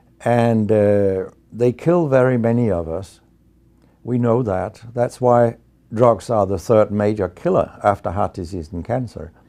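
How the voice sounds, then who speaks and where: In a Danish accent, a man speaks at medium pitch against a quiet background. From Denmark. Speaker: medical researcher and professor. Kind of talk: interview monologue. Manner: hesitant fillers.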